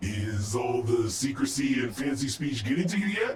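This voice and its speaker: The speaker uses a put-on character voice. Background noise is clearly present. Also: man, medium pitch for a man, moderate pace. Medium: video game.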